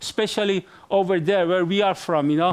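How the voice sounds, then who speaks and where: Speaking with a Persian accent, a man keeps a moderate pace. His pitch varies in an ordinary way. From Iran. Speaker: event moderator. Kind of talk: live event moderation. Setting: stage with live audience. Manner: hesitant, many fillers.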